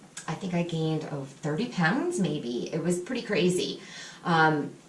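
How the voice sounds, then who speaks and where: Lively intonation carries this fairly slow speech, with background noise noticeable underneath. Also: woman. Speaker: person in recovery from drug addiction. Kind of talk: personal vlog talk to camera.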